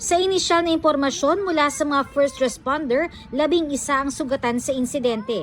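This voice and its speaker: Against noticeable background noise, a woman with a high voice speaks at a moderate pace with ordinary pitch variation. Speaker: TV news reporter. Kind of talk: news reading. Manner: formal.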